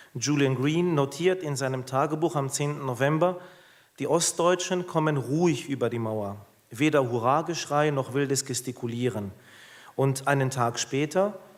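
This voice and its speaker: With a German accent, a man speaks at a moderate pace. His pitch is fairly high and moves in an ordinary way. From Germany. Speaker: Orthodox clergyman. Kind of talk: keynote lecture.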